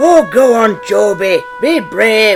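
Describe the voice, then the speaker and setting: Someone performs a put-on character voice over clear music in the background. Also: man. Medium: machinima. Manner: brisk, confident.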